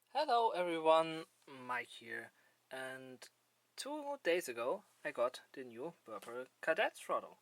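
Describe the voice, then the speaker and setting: With a non-native accent, a man takes long, frequent pauses, and his loudness swings widely. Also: dry, close sound with no echo. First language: not English. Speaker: gaming hardware reviewer. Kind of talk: improvised product review. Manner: halting, many fillers.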